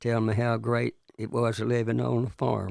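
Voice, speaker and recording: Here a man speaks with a Texan accent. His pitch is medium and his intonation fairly even. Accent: Texan Southern US. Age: 90s. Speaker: retired farmer. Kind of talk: casual interview. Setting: studio.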